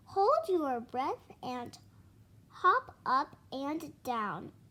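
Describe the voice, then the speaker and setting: A woman puts on a character voice, high-pitched and very slow, with very wide pitch swings. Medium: read story.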